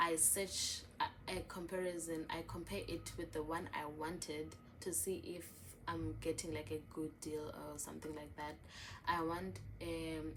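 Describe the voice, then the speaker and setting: A woman talks at a fairly slow pace, with audible echo from the room. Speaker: journaling vlogger. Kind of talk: casual show-and-tell vlog. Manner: chatty, filler-heavy.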